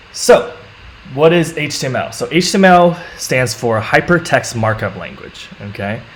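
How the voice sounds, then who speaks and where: Noticeable background noise sits behind a man with a fairly high pitch, talking at a moderate pace. His voice shows very wide pitch swings and big swings in loudness. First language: not English. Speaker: coding teacher and live streamer. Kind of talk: live-streamed coding tutorial. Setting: live stream. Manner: casual, with many fillers.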